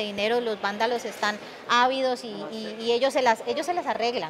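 Light background noise accompanies a woman speaking at a moderate pace. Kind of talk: press statement answer. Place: hall. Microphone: handheld.

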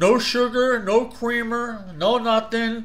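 A man with a New Jersey accent at a very slow pace, high in pitch with a bright, sharp tone. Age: 40s. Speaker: YouTube product reviewer; product reviewer. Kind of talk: casual video review; casual vlog chat. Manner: animated. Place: home room. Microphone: webcam.

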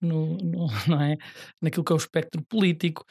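The voice has a dark, mellow tone and moves at a fairly quick pace. The recording is very clean, with a silent background and a dry, close sound with no echo. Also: man. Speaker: party youth politician. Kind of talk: political debate.

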